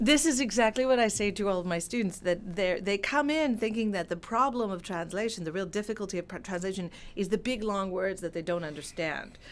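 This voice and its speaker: A woman with an American accent speaks in a plain, everyday voice at a fairly quick pace, with ordinary pitch variation and hardly any pauses. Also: medium pitch for a woman. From California. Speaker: translator and professor. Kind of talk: interview.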